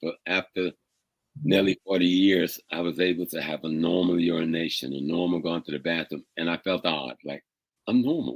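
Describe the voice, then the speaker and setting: In a dry, close sound with no echo, a man with a very deep, low pitch and vocal fry speaks at a moderate pace with ordinary pitch variation. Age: 70s. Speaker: professor and lecturer on African history. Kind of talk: casual interview conversation.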